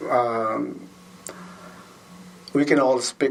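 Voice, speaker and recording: Noticeable background noise sits behind a speaker with a Filipino accent. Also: man. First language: Tagalog. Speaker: school custodian and basketball referee. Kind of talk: interview. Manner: halting, self-correcting.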